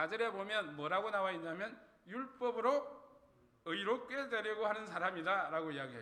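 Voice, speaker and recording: With audible room echo around him, a man speaks in a raised, projected voice at a high pitch, using lively intonation at a moderate pace. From Gyeongsang region, Korea. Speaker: pastor. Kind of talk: sermon. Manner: conversational, asks the congregation questions.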